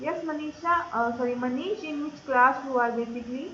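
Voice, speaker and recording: Amid audible room echo, a woman speaks at a moderate pace with a high pitch. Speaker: online course trainer. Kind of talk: live online lecture. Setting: live online class. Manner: loud.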